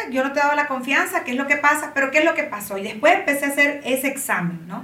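A raised, projected voice in a Honduran accent rings with audible room echo. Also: woman. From Honduras, Tegucigalpa. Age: 30s. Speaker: publicist and body positivity influencer. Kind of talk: casual chat. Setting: studio.

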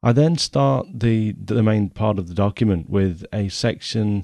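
A man with a dark, mellow tone and fairly low pitch talks at a moderate pace with ordinary pitch variation, his voice dry and close with no echo over a quiet background. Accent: English Midlands. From England, Nottingham. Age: 40s. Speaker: photography podcaster. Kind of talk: podcast monologue reading from document.

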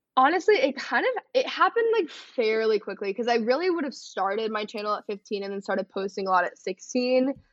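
The speech moves at a fairly quick pace with an American accent. Its intonation is lively. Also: woman, high pitch for a woman, hardly any pauses. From Texas, north of Dallas. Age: 20s. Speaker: content creator. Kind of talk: casual chat.

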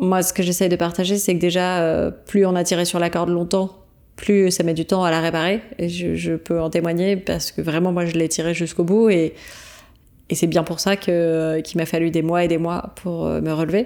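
Her voice is fairly low in pitch and dark and mellow in tone. The woman speaks at a moderate pace in a flat monotone. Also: very clean recording, silent background. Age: 30s. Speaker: podcaster and coach on burnout. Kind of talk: interview. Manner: hesitant.

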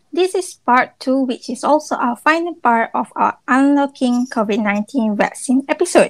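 In a dry, close sound with no echo, a woman with high pitch talks at a moderate pace. Her intonation is lively, with hardly any pauses. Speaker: student podcast host. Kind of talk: interview.

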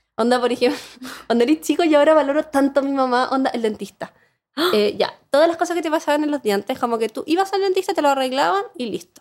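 A high-pitched woman with a Chilean accent, lively intonation and a very fast pace. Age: 30s. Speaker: advertising professional and content creator. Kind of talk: casual chat.

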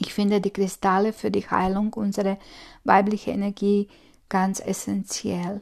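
Over a quiet background, a woman talks at a moderate pace and medium pitch in a monotone, flat intonation. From Croatia. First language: Croatian (speaking German). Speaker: spiritual coach. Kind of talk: solo podcast monologue. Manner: hesitant, many fillers.

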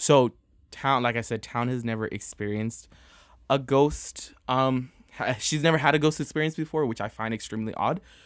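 A man with an American accent at medium pitch, ordinary pitch variation and a moderate pace, in a very clean recording with a silent background. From New York. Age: 20s. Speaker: podcast co-host. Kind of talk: casual chat. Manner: animated.

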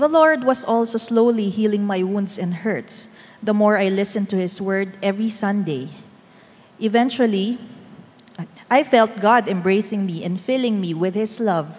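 A woman with a normal speaking voice talks at a fairly slow pace and medium pitch, with ordinary pitch variation. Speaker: church member giving testimony. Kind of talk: testimony.

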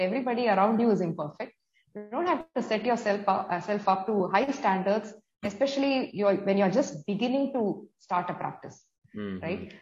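Music plays behind a woman speaking at a fairly quick pace. Her voice is medium in pitch with ordinary variation. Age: 40s. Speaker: nutrition coach. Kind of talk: interview.

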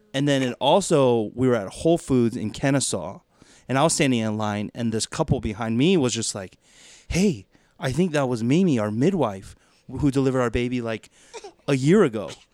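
A man's ordinary speaking voice with an American accent, medium pitch, lively intonation and a fairly quick pace, on a very clean recording with a silent background. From US South, Georgia (Duluth, Atlanta suburbs). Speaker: pastor. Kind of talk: casual podcast conversation.

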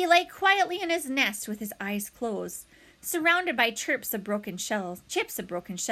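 The clip is plain reading aloud.

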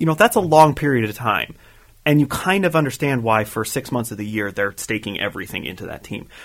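A man with a normal speaking voice talks fairly quickly in a medium pitch, with lively intonation and big swings in loudness. The recording is very clean, and the background is silent. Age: 20s. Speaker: podcast co-host. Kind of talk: casual chat.

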